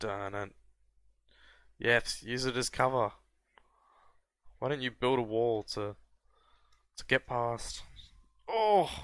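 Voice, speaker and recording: A man's medium-pitched voice with ordinary pitch variation, very slow pace and long, frequent pauses, on a very clean recording with a silent background. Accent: Australian. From Australia. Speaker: gaming youtuber. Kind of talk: gameplay commentary.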